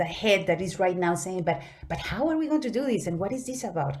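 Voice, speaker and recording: With a Spanish accent and lively intonation, a woman speaks at medium pitch while the room echoes audibly. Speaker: conference speaker. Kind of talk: conference presentation. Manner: halting.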